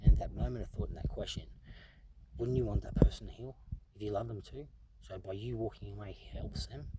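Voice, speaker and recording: Noticeable background noise accompanies this man as he speaks fairly quickly. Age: 30s. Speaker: vlogger sharing personal story. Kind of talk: personal monologue.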